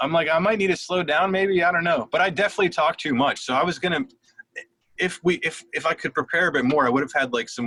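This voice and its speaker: This man talks at a very fast pace with lively intonation and a fairly high pitch. The sound is dry and close, with no echo. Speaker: podcast host. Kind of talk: casual chat.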